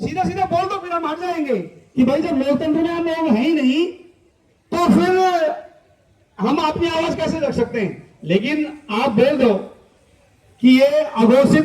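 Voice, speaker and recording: The speaker is a man. His intonation is lively. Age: 60s. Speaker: retired army officer and activist. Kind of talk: protest speech. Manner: impassioned.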